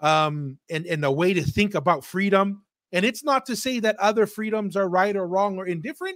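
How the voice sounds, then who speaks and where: With lively intonation and a high pitch, a man speaks at a moderate pace in a dry, close sound with no echo. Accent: American. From Tonga. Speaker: podcast host. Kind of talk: casual chat. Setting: live stream.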